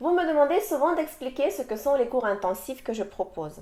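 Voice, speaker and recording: With a Russian accent, a woman speaks at a high pitch and a fairly slow pace. Her tone is dark and mellow, and her pitch swings very wide. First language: Russian (speaking French). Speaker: language teacher. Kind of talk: sales pitch.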